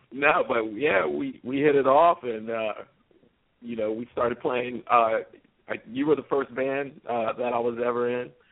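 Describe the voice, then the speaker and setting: A man speaks at a fairly slow pace with an American accent. He has a plain, everyday voice at medium pitch. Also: ordinary pitch variation. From US, southern Maryland. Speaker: musician, old friend of host. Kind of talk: casual chat.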